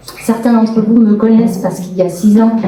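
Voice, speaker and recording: A woman is speaking. Audible room echo and noticeable background noise accompany her voice. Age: 40s. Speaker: local politician, municipal candidate. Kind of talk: public meeting self-introduction. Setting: public meeting with audience.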